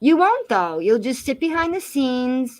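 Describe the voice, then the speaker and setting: With a Massachusetts accent, a woman speaks at a fairly quick pace using lively intonation. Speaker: live streamer. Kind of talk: casual chat. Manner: animated.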